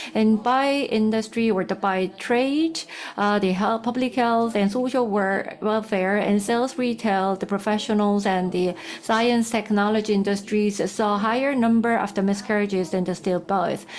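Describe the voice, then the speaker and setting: With noticeable background noise, a woman speaks at a moderate pace with fairly even intonation and very even loudness. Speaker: researcher. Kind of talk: conference presentation. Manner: halting with fillers.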